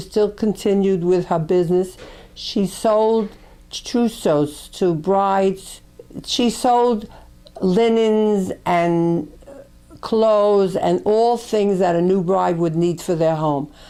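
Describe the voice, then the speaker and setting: Speaking very slowly with a New York accent, a woman uses a dark, mellow tone. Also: medium pitch for a woman, ordinary pitch variation, very even loudness. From New York, Brooklyn. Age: 80s+. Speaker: grandmother recording family memories. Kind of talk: memoir narration.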